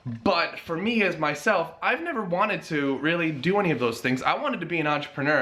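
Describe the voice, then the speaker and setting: A man with an American accent speaks at a high pitch with ordinary pitch variation. Room echo is audible. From US Northeast (Connecticut). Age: 20s. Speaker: personal trainer and fitness vlogger. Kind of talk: casual vlog announcement. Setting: home garage gym.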